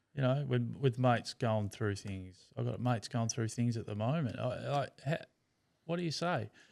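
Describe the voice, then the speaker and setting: A man talks at a medium pitch with an Australian accent. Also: ordinary pitch variation, moderate pace, very clean recording, silent background. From Tasmania, Australia. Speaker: brain cancer survivor. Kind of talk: casual chat. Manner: halting, repeats words.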